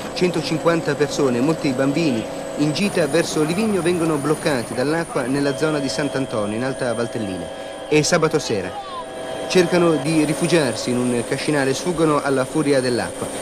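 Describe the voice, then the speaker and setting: This is a man with a fairly high-pitched voice. Noticeable background noise runs behind him. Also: ordinary pitch variation, moderate pace. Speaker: TV news presenter/reporter. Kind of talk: 1980s TV newscast voice-over narration, solemn and dramatic. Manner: grave, measured, formal, urgent.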